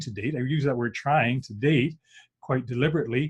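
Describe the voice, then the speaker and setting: Somewhat breathy, a man speaks with a Canadian accent and ordinary pitch variation. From Saskatchewan, Canadian prairies. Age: 60s. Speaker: workshop presenter, former engineer. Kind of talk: online presentation. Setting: group video call.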